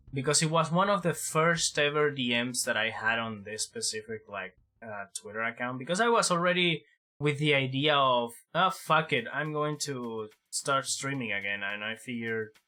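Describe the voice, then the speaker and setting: In a very clean recording with a silent background, a man with a Spanish accent speaks at a moderate pace in a fairly high, bright, sharp voice with lively intonation. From Latin America. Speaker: vtuber streamer. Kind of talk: casual chat. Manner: hesitant, many fillers.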